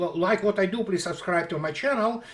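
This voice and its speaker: A man speaks with a Russian accent. His pitch is high. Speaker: military analyst blogger. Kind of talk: political commentary monologue. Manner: halting.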